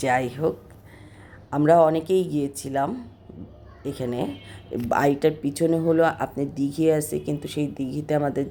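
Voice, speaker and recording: Very deep and low, this woman's voice moves with ordinary pitch variation. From Bangladesh, Kushtia. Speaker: vlogger. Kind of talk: travel vlog narration.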